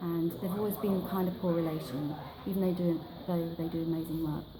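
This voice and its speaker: A woman keeps a moderate pace while noticeable background noise surrounds her speech. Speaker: library campaigner. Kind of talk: interview answer. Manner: soft-spoken, passionate.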